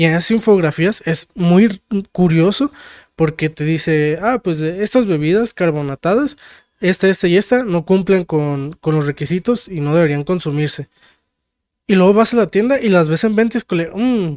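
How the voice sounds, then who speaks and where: A man's high voice with a Mexican accent at a moderate pace, ordinary pitch variation, dry, close sound with no echo, and a very clean recording over a silent background. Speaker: podcast co-host. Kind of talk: casual chat.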